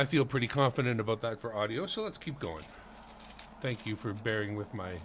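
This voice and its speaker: This voice carries a Manitoban accent and ordinary pitch variation. The pace is fairly quick. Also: man, medium pitch for a man. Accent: Canadian (Manitoba). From Canada, Winnipeg. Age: 50s. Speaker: coin collecting streamer. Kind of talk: live stream, casual commentary. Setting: home, living room.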